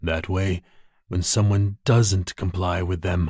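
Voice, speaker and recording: On a very clean recording with a silent background, a man speaks at a fairly slow pace in a theatrical, menacing tone that is somewhat breathy. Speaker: audiobook narrator. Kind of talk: dramatic audiobook narration of a thriller, performed. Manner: suspenseful pacing, pauses and stammers for tension.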